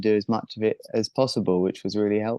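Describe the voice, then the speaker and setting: Against a quiet background, a man with a southern English accent talks at a fairly quick pace and medium pitch, the sound dry and close with no echo. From southern England, near Brighton. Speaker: professional kiteboarder. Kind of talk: interview.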